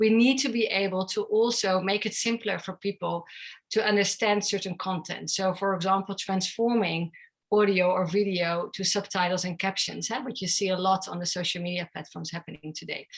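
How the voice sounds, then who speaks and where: A woman with a Dutch accent speaks at a fairly quick pace. Her pitch is medium and her intonation fairly even. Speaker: tech company founder and CEO. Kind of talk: interview.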